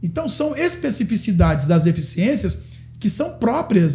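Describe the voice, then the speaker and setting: A man speaks with a high pitch and very wide pitch swings. His tone is dark and mellow. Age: 60s. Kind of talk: podcast interview. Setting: studio. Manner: animated.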